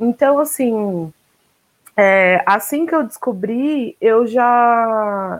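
Very slowly, a woman with a fairly high voice speaks with lively intonation. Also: dry, close sound with no echo. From Brazil. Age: 30s. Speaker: artist and poet. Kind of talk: online panel discussion.

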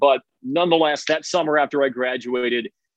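A man with an American accent, a plain, everyday voice, fairly high in pitch, at a moderate pace. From Chicago suburbs. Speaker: college sports radio play-by-play broadcaster. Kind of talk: casual interview.

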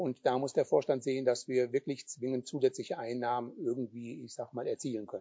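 With an ordinary speaking voice, a man talks at a fairly quick pace with hardly any pauses, using a medium pitch, fairly even intonation and big swings in loudness. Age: 60s. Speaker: sports club chairman. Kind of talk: interview. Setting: video recording.

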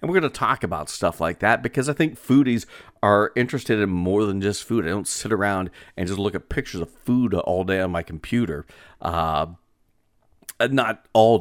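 A normal speaking voice from a man, fairly low in pitch with lively intonation at a moderate pace, on a very clean recording with a silent background. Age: 40s. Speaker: podcast host and radio broadcaster. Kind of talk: casual solo podcast monologue. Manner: conversational with many filler words.

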